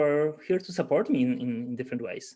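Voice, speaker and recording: A man with a Polish accent, speaking at a moderate pace. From Poland. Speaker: agile coach. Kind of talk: webinar talk. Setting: video call. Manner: halting.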